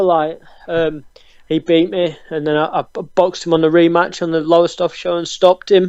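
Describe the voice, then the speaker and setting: Speaking with a Yorkshire accent at a moderate pace, a man has a dark, mellow tone. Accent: Barnsley Yorkshire. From northern England, Barnsley, South Yorkshire. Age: 20s. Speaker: professional boxer. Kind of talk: interview. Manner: hesitant, many ums.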